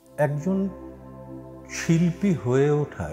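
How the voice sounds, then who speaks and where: With music in the background, a man's pitch swings very widely. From Chittagong, Bangladesh. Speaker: reciter. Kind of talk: interview answer.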